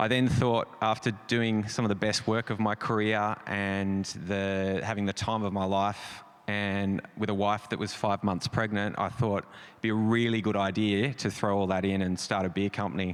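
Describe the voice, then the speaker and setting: A man speaks at a moderate pace with hardly any pauses. His voice is fairly low and his intonation is monotone and flat. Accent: Australian. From Australia. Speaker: creative director. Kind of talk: panel discussion.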